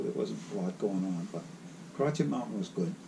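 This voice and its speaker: Noticeable background noise under a man's voice with ordinary pitch variation. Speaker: retired tow truck operator. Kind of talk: interview. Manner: halting.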